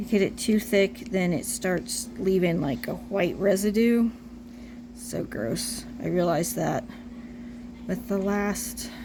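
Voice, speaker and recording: A woman's medium-pitched voice at a very slow pace with ordinary pitch variation, in audible room echo. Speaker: reborn doll artist tutorial maker. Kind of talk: tutorial. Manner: casual, chatty with fillers.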